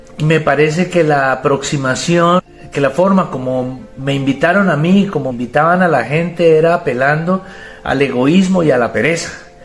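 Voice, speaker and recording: With music in the background, a man speaks at a fairly high pitch and a moderate pace, with ordinary pitch variation. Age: 50s. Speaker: personal growth youtuber. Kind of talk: testimony.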